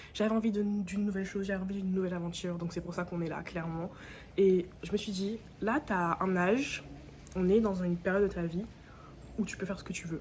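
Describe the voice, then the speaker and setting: Very fast speech from a woman at a medium pitch, broken by long, frequent pauses. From Guadeloupe. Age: 20s. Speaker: vlogger. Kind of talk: casual vlog talk to camera. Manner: animated.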